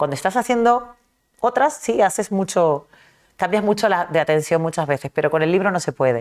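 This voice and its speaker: With a medium pitch and a fairly quick pace, a woman makes very wide pitch swings while keeping her loudness very even. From Argentina (early childhood), then Caracas, Venezuela (adolescence). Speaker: novelist. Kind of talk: interview.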